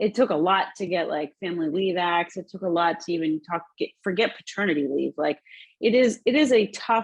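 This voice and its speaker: A woman talks at a fairly quick pace and medium pitch with lively intonation over a quiet background. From United States, child of immigrants. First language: not English. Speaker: social entrepreneur and conference speaker. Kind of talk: conference talk. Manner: conversational, many fillers.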